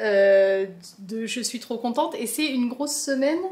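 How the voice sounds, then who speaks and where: A woman speaks in a high voice. The room echo is audible. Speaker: plant vlogger. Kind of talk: casual vlog. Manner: animated.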